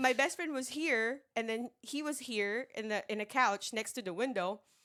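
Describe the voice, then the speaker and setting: A woman with a high pitch and a bright, sharp tone speaks in an animated way at a moderate pace. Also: ordinary pitch variation. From Philippines. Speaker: podcast guest. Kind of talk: casual chat, storytelling.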